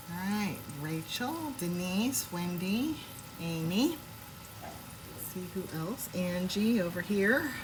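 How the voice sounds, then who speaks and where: Amid noticeable background noise and audible room echo, a woman speaks at a very slow pace in a medium pitch, relaxed in tone and lively in intonation. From Washington State. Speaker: home cooking livestreamer. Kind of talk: casual live cooking stream. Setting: home kitchen, live stream. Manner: chatty, relaxed.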